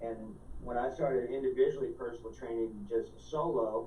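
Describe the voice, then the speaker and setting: A man's voice with audible room echo. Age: 40s. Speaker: holistic health consultant. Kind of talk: interview. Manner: fast; casual.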